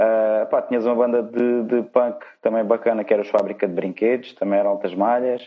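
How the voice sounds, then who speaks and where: A man's medium-pitched, monotone voice with flat intonation at a fairly quick pace. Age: 20s. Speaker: punk rock guitarist. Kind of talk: casual chat.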